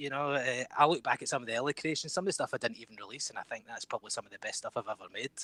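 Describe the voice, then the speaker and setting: A man with a strong Scottish accent, fairly high-pitched for a man, at a very fast pace, in a dry, close sound with no echo. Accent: thick Scottish. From Scotland. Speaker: game developer. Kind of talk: podcast interview. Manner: halting.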